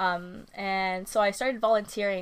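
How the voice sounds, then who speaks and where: In a very clean recording with a silent background, a woman with a Californian accent speaks at a medium pitch with monotone, flat intonation. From Southern California, Ventura County. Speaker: substitute teacher and small baking business owner. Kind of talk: casual interview chat.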